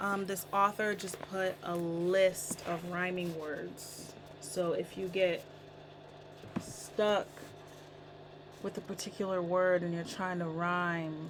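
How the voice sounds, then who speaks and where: Noticeable background noise sits under a woman speaking very slowly in a fairly low, flat monotone, with long, frequent pauses. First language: not English. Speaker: songwriter vlogger. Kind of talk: casual tutorial vlog.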